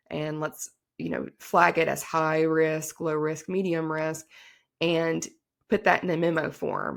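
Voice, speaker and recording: At a fairly slow pace, a woman with an American accent speaks on a very clean recording with a silent background. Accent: Southern twang, comes out now and then. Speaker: attorney. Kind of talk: podcast interview. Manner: casual, many fillers.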